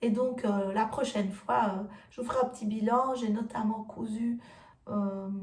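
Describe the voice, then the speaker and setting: Very slowly, a woman speaks in a fairly high voice with fairly even intonation. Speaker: sewing YouTuber. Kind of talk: casual vlog talk to viewers. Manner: hesitant, many fillers.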